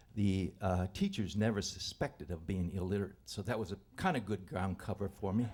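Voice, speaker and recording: Somewhat breathy and dark, mellow in tone, a voice with an American accent moves at a moderate pace with ordinary pitch variation on a very clean recording with a silent background. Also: man. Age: 70s. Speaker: storyteller. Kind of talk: live storytelling. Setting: stage with audience. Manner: halting.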